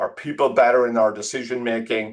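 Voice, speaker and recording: In an Irish accent, a man speaks at a moderate pace against a quiet background. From Ireland, rural Tipperary. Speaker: tech executive. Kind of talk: interview. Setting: podcast.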